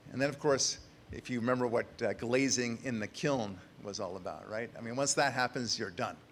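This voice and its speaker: A man talks at a fairly quick pace with medium pitch and ordinary pitch variation. He has an unremarkable speaking voice. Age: 60s. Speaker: author. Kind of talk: conference speech.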